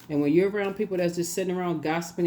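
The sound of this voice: This woman's voice sits fairly low in pitch. Its tone is dark and mellow.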